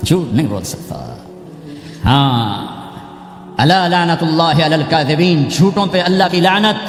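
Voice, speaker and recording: The speech has ordinary pitch variation, with noticeable background noise behind it. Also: man. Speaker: Islamic preacher. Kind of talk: religious sermon. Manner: emotional, impassioned.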